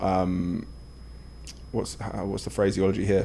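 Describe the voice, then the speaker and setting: In an English accent, a man speaks with a fairly low pitch and a dark, mellow tone. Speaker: wellness coach. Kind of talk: casual podcast conversation. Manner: talkative, many fillers and restarts.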